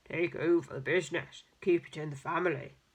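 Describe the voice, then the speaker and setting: Someone puts on a character voice at a middle pitch and a fairly quick pace. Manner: stern, fatherly, imposing.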